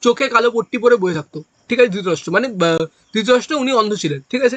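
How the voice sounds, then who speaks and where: Recorded dry and close with no echo, a man projects a raised voice at an extremely high pitch with a bright, sharp tone. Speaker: exam coaching teacher. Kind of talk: lecture.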